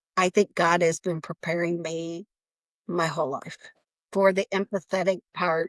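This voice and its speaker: A woman with a plain, everyday voice speaks at a fairly slow pace and fairly low pitch, her intonation fairly even and the sound dry and close with no echo. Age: 60s. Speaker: nonprofit founder. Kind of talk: interview.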